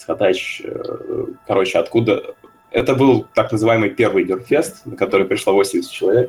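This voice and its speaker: With music in the background, a man speaks at a moderate pace, leaving long, frequent pauses. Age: 20s. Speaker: fan convention organizer. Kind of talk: casual chat. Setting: studio.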